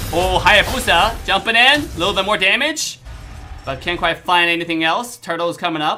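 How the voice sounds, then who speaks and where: With music in the background, a man speaks at a high pitch with ordinary pitch variation. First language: not English. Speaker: esports caster. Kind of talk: live commentary. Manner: fast; animated.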